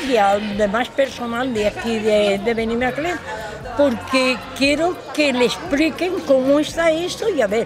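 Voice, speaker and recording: Over crowd noise and audible room echo, a woman talks at a moderate pace with a high pitch and lively intonation. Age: 80s+. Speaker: local resident. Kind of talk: testimony.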